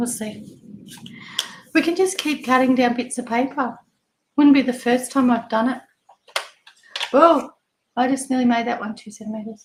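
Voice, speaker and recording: Speaking with an Australian accent, a woman keeps a moderate pace with long, frequent pauses. Her pitch is high, with ordinary pitch variation. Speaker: papercraft product demonstrator. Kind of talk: casual live craft demonstration.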